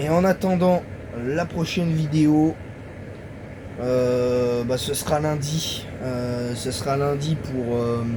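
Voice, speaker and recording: Through audible room echo and noticeable background noise, a man with a fairly high pitch speaks at a very slow pace, leaving long, frequent pauses. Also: ordinary pitch variation. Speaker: YouTuber football commentator. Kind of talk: casual video monologue. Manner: halting; soft-spoken.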